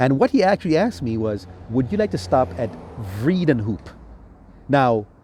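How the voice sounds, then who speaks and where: A man with an American accent speaks at a moderate pace and medium pitch, his tone relaxed, dark and mellow, somewhat breathy, with very wide pitch swings and long, frequent pauses. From US Virgin Islands (St. Thomas). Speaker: travel vlogger. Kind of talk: casual monologue travel review. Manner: relaxed, conversational with fillers.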